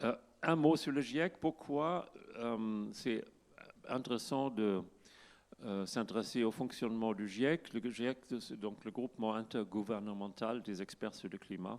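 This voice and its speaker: A man with a German accent talks at a very slow pace, leaving long, frequent pauses. His pitch is medium, with ordinary variation. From Germany. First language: German (speaking French). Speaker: climate scientist. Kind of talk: conference talk. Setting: stage with audience. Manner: halting.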